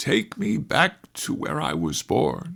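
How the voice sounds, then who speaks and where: A raspy, put-on character voice delivers its lines at a fairly slow pace. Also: man. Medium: read story. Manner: gruff, short-tempered.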